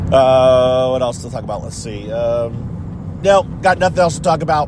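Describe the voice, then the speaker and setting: With lively intonation, a man talks at a moderate pace. Audible room echo and noticeable background noise are present. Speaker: reality TV commentary vlogger. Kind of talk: casual vlog monologue. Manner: mumbling, distracted.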